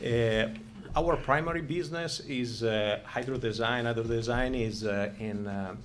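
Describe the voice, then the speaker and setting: A man with an Italian accent at a fairly slow pace and medium pitch, ordinary pitch variation, noticeable background noise and audible room echo. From Italy. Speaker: business owner. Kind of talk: public hearing testimony. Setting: planning commission meeting. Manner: halting.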